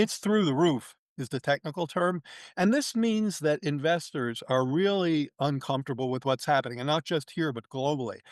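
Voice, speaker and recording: With an unremarkable speaking voice, a man talks at a moderate pace and a fairly high pitch with lively intonation, the sound dry and close with no echo against a quiet background. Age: 60s. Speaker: economist. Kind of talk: interview conversation.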